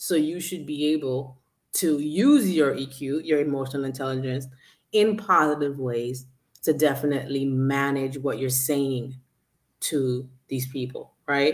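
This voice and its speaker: A fairly slow voice in an American accent with ordinary pitch variation. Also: woman, very deep, low pitch for a woman. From Brooklyn, New York, Jamaican background. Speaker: coach, podcast co-host. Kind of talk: casual chat. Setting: live stream on social media.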